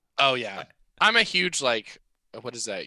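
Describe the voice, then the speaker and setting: This man speaks in an American accent with a bright, sharp tone. The recording is very clean, with a silent background. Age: 20s. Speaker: rock band drummer. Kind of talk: casual interview chat.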